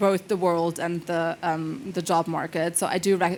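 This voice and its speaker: A woman with a non-native accent, fairly low in pitch, with fairly even intonation. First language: not English. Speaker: panelist. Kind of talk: panel discussion.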